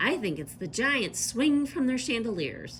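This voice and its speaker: A female-sounding voice performs a put-on character voice. Clear background noise runs underneath. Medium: read story. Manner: eager.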